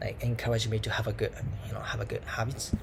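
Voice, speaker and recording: A man with a Japanese accent talks in a room with audible echo. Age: 20s. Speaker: language student vlogger. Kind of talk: casual monologue vlog. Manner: halting, many fillers. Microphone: laptop mic.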